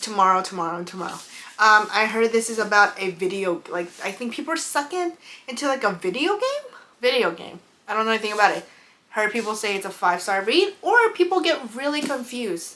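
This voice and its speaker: The speaker has a non-native accent and talks at a fairly quick pace with lively intonation. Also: woman, fairly high pitch for a woman. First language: not English. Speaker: book and beauty YouTuber. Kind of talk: casual vlog chat. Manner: halting, stumbles over names.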